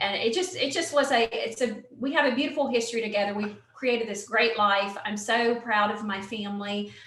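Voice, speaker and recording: A woman with a Southern accent and a fairly high-pitched voice speaks at a fairly quick pace with ordinary pitch variation and hardly any pauses, amid noticeable background noise and audible room echo. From US South, western North Carolina mountains. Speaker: Air Force veteran, nonprofit founder. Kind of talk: interview.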